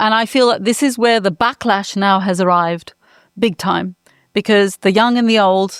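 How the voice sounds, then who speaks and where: Recorded with a dry, close sound and no echo, a woman talks at a fairly high pitch. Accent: British. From England. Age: 60s. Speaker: climate lawyer and activist. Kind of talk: panel discussion. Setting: in person in Berlin.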